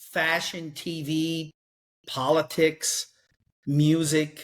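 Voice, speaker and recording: On a very clean recording with a silent background, a man speaks at a fairly high pitch in a Newfoundland accent. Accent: Newfoundland accent, heard as Irish. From Newfoundland, Canada. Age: 50s. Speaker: sales author. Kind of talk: casual chat.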